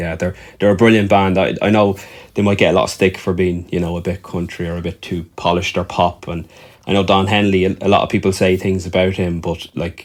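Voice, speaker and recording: A man's very deep, low voice in an Irish accent, fairly quick and monotone with flat intonation, on a very clean recording with a silent background. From Ireland. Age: 40s. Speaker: musician. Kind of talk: casual chat. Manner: halting, with frequent repetitions.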